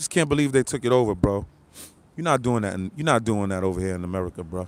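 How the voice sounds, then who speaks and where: A man speaks in an animated tone with ordinary pitch variation. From New York City. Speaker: live-stream commentator. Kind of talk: live stream chat with viewers. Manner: repetitive.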